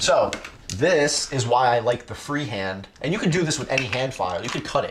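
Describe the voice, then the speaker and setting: Against noticeable background noise, a man speaks at a moderate pace. His intonation is lively. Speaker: 3D printing and cosplay streamer. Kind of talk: casual live stream Q&A.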